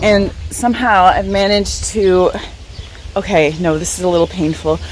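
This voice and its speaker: Speaking at a moderate pace, a woman is heard over noticeable background noise. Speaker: travel vlogger. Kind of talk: casual vlog.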